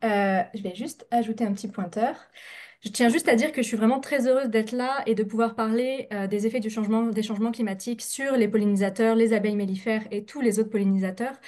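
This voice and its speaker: A woman talks at a fairly quick pace. Her tone is dark and mellow. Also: fairly high pitch for a woman, fairly even intonation. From France. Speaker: scientist, researcher. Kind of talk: scientific presentation. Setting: video call, webinar. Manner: fast; hesitant, many filler sounds.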